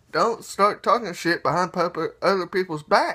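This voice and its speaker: With a quiet background, a man uses a raised, projected voice, bright and sharp in tone, with lively intonation at a fairly slow pace. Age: 20s. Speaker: YouTuber. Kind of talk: casual vlog rant. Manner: animated. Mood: annoyed, ranting. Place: home room. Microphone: phone near.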